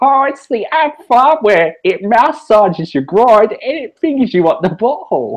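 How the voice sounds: A man puts on a character voice, pitched high with big pitch swings, and speaks at a fairly slow pace.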